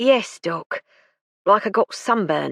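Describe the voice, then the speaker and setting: A woman does a raspy, put-on character voice at fairly high pitch, in a very clean recording with a silent background and a dry, close sound with no echo. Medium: read story. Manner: plain-spoken, grumbling.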